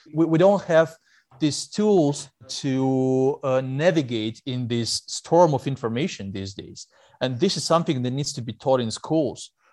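With a Russian accent, a man speaks at a fairly slow pace in a dark, mellow tone, his fairly high pitch showing ordinary variation and big swings in loudness over a quiet background. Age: 30s. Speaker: investigative journalist. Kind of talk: interview. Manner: hesitant with fillers.

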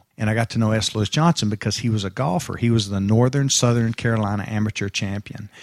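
In a Texan accent, a man with a fairly low pitch speaks very fast with hardly any pauses and fairly even intonation, on a very clean recording with a silent background and a dry, close sound with no echo. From Texas. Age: 50s. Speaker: commercial real estate developer. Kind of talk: interview before a live dinner audience.

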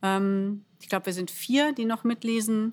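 A woman talks in an ordinary speaking voice with fairly even intonation. The recording is very clean, with a silent background. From Germany, Bielefeld. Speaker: actress and cabaret artist. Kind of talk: casual interview.

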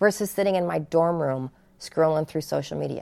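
On a very clean recording with a silent background, a woman with an ordinary speaking voice talks at a fairly quick pace with lively intonation. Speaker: gymnastics coach and author. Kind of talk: interview chat about her book. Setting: studio.

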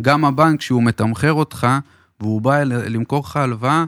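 A man with a normal speaking voice talks at a moderate pace in a medium pitch, with fairly even intonation. The recording is very clean, with a silent background. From Israel, Beersheba. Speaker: mortgage advisor. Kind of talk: podcast interview.

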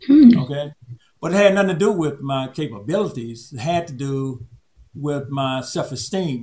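Here a man talks in a Southern US accent. His intonation is lively. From Alabama. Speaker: retired public health official. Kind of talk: interview. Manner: halting.

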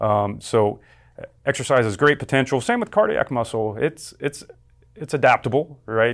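At a moderate pace and medium pitch, a man talks in an ordinary speaking voice. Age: 40s. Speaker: exercise physiology professor. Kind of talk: interview.

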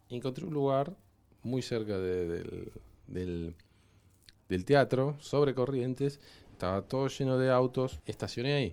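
A man with a Rioplatense accent and lively intonation, with long, frequent pauses. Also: medium pitch for a man. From Argentina. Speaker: cinematographer. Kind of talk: interview. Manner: halting.

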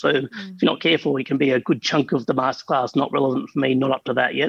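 A man's fairly high voice in an Australian accent at a very fast pace, with a dry, close sound and no echo. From Australia, Adelaide. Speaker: founder of accounting software company. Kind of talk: interview.

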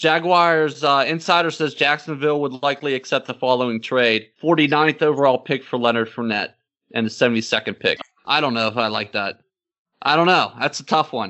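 A man with fairly high pitch and an unremarkable speaking voice talks at a moderate pace with ordinary pitch variation. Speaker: podcast co-host. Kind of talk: casual banter about NFL draft. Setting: online video call.

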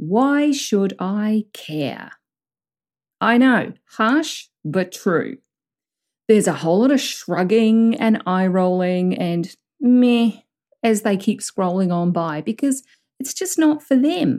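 Speaking at a very slow pace with a New Zealand accent, a woman uses a fairly high pitch and very wide pitch swings. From southern New Zealand. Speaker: business coach, podcast host. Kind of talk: solo coaching monologue. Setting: recording alone in a room.

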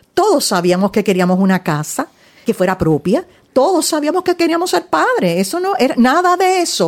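With a high pitch that swings very widely, a woman keeps a moderate pace. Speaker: social worker and counselor. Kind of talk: interview. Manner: animated.

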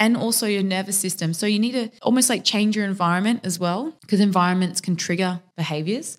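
On a very clean recording with a silent background, a woman with an unremarkable speaking voice talks at a fairly quick pace and medium pitch, with ordinary pitch variation and hardly any pauses. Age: 30s. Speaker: fitness professional and personal trainer. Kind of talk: casual chat.

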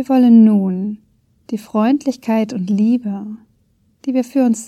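A woman speaks very slowly in a dark, mellow, gentle, soothing tone, somewhat breathy and fairly high in pitch, with fairly even intonation on a very clean recording with a silent background. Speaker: podcast host and meditation guide. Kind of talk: guided meditation. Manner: slow, calm, soft-spoken, with long pauses; gentle, soothing, warm.

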